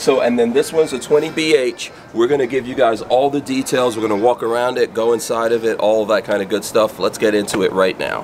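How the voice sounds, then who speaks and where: Over light background noise, a man talks at a fairly quick pace with hardly any pauses and ordinary pitch variation. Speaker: channel host interviewing a rep. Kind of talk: casual interview chat. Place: market.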